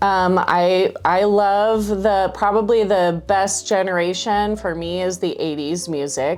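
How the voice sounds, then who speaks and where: Medium-pitched woman at a fairly slow pace, ordinary pitch variation, noticeable background noise. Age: 40s. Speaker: voice teacher. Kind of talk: interview. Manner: halting.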